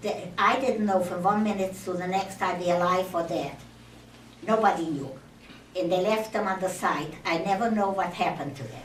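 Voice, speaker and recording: Over noticeable background noise and audible room echo, a woman talks with ordinary pitch variation. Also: medium pitch for a woman, moderate pace. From Czechoslovakia. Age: 80s+. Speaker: Holocaust survivor. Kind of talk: testimony. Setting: speaking to an audience in a temple. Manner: halting.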